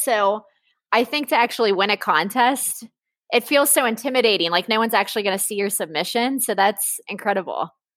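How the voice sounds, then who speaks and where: An animated woman with an American accent, fairly high pitch and fairly quick pace. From Cincinnati, Ohio. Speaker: podcast host. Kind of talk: casual interview. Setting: laptop microphone. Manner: fast.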